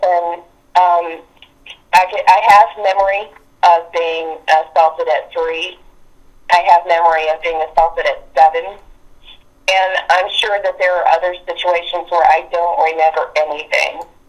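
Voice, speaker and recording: Fairly low in pitch, a woman speaks at a fairly slow pace with fairly even intonation. She takes long, frequent pauses, and music plays in the background. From West Virginia. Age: 60s. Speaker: abuse survivor sharing experiences. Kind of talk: interview testimony. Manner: halting.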